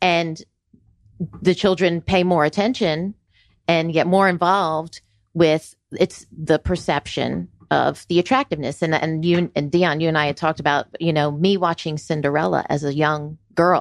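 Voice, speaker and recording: A woman with an unremarkable speaking voice, fairly low in pitch, in an American accent, at a moderate pace with fairly even intonation, in a dry, close recording with no echo. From New York City and Florida. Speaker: engineering firm business developer. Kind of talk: radio panel interview. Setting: radio studio.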